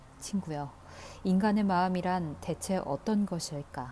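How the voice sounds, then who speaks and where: In a calm tone, a woman speaks very slowly at a fairly low pitch. Her tone is dark and mellow, and her intonation is lively. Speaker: audiobook reader. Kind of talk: audiobook reading of a classic novel. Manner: soft, calm, ASMR-style reading.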